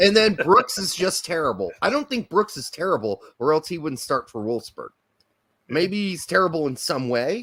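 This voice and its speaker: A loud man with an American accent, a bright, sharp tone, vocal fry, very wide pitch swings and a moderate pace. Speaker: football podcast co-host. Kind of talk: casual chat.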